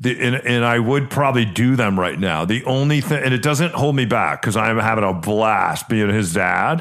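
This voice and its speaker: A medium-pitched man's voice at a moderate pace, hardly any pauses, very even loudness and ordinary pitch variation, over noticeable background noise. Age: 50s. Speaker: podcast host and realtor. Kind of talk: casual chat.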